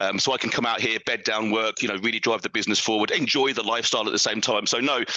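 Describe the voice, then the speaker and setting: At a very fast pace with hardly any pauses, a man speaks at medium pitch in a monotone, flat intonation with very even loudness. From UK. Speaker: fitness coach and podcaster. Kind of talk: podcast interview.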